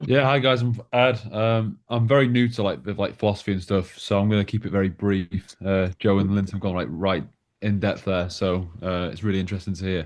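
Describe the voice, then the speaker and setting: A man with a northwest English accent at a fairly quick pace, with ordinary pitch variation. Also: hardly any pauses. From northwest England, Manchester. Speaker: newcomer to a philosophy discussion group. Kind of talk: casual group chat introduction. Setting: video call. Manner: hesitant, many fillers.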